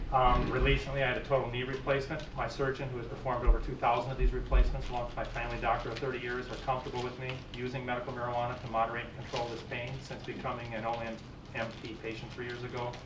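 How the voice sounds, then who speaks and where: A man's medium-pitched voice, very fast and flat in intonation, with big jumps in loudness, noticeable background noise and audible room echo. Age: 60s. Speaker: medical marijuana patient testifying. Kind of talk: public testimony. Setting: legislative committee hearing. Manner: formal.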